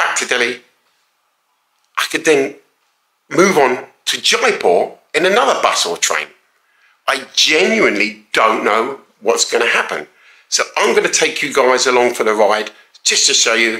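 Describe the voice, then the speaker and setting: A man talks at a moderate pace with long, frequent pauses, his voice carrying an audible room echo over a quiet background. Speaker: travel vlogger. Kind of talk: casual vlog chat. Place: home room. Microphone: phone near.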